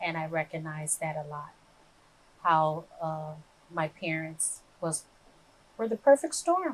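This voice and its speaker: Her voice is very deep and low for a woman, with fairly even intonation at a fairly slow pace and big swings in loudness. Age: 60s. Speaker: recovery speaker sharing personal story. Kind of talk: interview testimony. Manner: halting, with many fillers.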